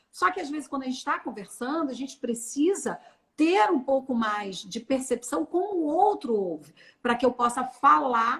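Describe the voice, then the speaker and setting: A woman with a high-pitched voice talks at a moderate pace with lively intonation. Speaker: personal branding consultant. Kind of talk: live stream conversation.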